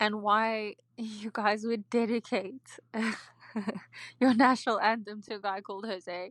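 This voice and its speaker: A woman speaks at a fairly high pitch in a flat monotone, her loudness swinging widely. She talks at a fairly slow pace with long, frequent pauses, and the sound is dry and close with no echo. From South Africa. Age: 20s. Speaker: caller. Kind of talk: voicemail.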